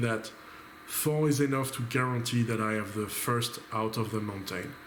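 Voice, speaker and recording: A man speaks at a medium pitch with a French accent and fairly even intonation, over noticeable background noise and audible room echo. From France. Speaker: board game streamer. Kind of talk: gameplay commentary. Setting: webcam recording at home. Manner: thinking aloud, hesitant.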